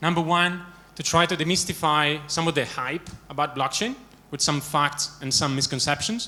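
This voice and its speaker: A bright, sharp tone at a fairly quick pace, with ordinary pitch variation. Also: man. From Italy. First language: Italian. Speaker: management consultant. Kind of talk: conference talk. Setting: stage with audience. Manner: many filler words.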